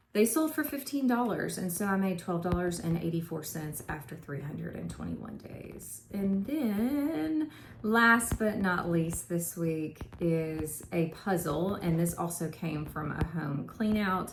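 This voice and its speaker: A woman with a Southern US accent talks at a fairly slow pace with hardly any pauses and lively intonation. Room echo is audible. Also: fairly low pitch for a woman. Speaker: part-time reseller, vlogger. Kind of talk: casual vlog talk, sales recap. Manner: casual, with filler 'um'.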